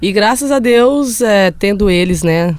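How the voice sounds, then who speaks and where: A woman is talking. Noticeable background noise runs behind her. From Brazil, Belo Horizonte. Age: 20s. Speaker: professional footballer. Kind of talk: casual interview chat. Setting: studio.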